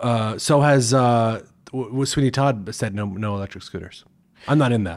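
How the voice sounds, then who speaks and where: A man talks in a normal speaking voice with an American accent and ordinary pitch variation. The recording is very clean, with a silent background. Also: medium pitch for a man, moderate pace. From New Jersey. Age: 30s. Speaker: stage actor and singer. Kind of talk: casual chat.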